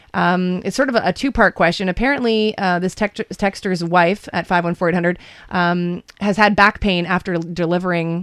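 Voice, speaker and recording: This woman has a normal speaking voice, fairly low in pitch, with ordinary pitch variation and a moderate pace. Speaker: radio host. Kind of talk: radio talk show hosting. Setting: radio studio.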